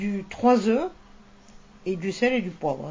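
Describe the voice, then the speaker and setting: Noticeable background noise accompanies a woman talking at a very slow pace. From southern France, near Montpellier. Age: 70s. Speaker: retired nurse's aide sharing a family recipe. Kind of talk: casual cooking interview.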